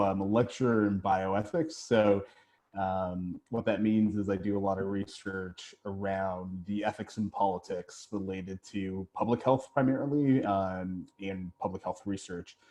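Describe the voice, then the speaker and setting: Speaking at a moderate pace with hardly any pauses, a man with a Canadian accent has a fairly low pitch, a dark, mellow tone and fairly even intonation. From Ontario, Canada. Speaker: bioethics lecturer. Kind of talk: lecture.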